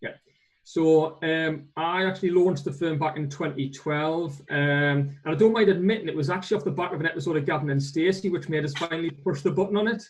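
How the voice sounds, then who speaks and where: A man's fairly high-pitched voice comes at a very fast pace. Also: ordinary pitch variation. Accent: northeast English. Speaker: accountant, firm owner. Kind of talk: webinar interview.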